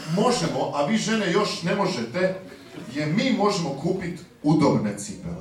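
A man at a moderate pace, with light background noise and audible room echo. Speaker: stand-up comedian. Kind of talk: stand-up comedy. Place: stage.

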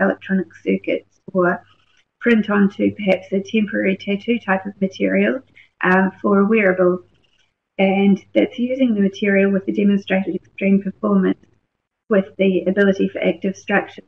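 A woman talks in a New Zealand accent. Her pace is moderate. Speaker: research scientist. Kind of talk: webinar presentation. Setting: online webinar.

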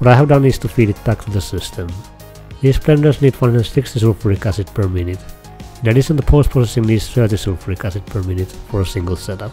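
The speech moves at a very fast pace with music in the background. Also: man. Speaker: game tutorial creator. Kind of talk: game tutorial narration.

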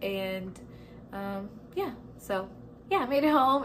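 The speaker is a woman with a medium pitch. Her pitch variation is ordinary.

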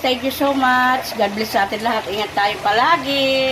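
A woman's high voice at a moderate pace, with audible room echo and noticeable background noise. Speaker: family vlogger cooking at home. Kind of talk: casual cooking vlog.

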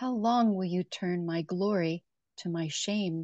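Dark, mellow tone from a woman at a very slow pace, with ordinary pitch variation, a dry sound with no echo and a quiet background. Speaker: co-leader of prayer. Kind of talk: responsive prayer and psalm reading. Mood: calm, quiet, reverent. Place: home room. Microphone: video call.

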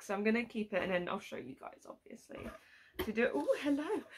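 A very fast pace in a British accent. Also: woman. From UK. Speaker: YouTuber doing unboxing videos; unboxing vlogger. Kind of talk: casual unboxing vlog. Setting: at home at her desk. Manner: animated. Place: home room. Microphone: phone near.

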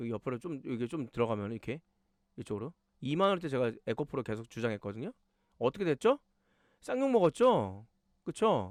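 Speaking at medium pitch and a fairly quick pace, a man sounds animated, his pitch swinging very widely. Long pauses come often, and the sound is dry and close with no echo. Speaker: stock market YouTuber, former fund manager. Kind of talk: stock analysis commentary. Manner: fast.

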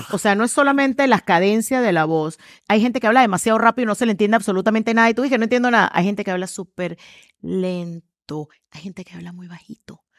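A woman's energetic, fairly quick delivery with lively intonation, dry sound with no echo and a quiet background. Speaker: communications trainer and speaker; communications trainer, speaker. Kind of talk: interview conversation. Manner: energetic, loud. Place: studio. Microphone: headset.

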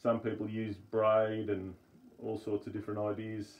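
A man with an Australian accent at a fairly slow pace. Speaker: amateur radio hobbyist video maker. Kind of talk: tutorial. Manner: casual, with hesitations. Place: home room. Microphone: phone near.

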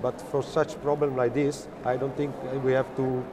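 With noticeable background noise behind him, a man talks at a moderate pace in a monotone, flat intonation. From Italy, Turin; Italy. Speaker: business executive. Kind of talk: interview. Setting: conference media area. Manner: halting, many fillers. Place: hall. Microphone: lapel.

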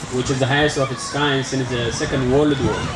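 Crowd noise fills the background as a man talks at a moderate pace. His intonation is monotone and flat. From Eritrea. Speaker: refugee advocate. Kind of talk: speech introduction to an audience. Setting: outdoors. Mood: earnest, somber. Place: open country. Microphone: handheld.

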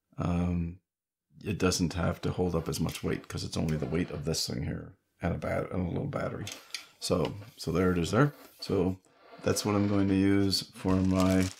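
With long, frequent pauses, a man speaks at a moderate pace in a very deep, low pitch with ordinary pitch variation, light background noise behind him. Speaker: hobbyist reviewer. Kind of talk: casual unboxing talk. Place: home room.

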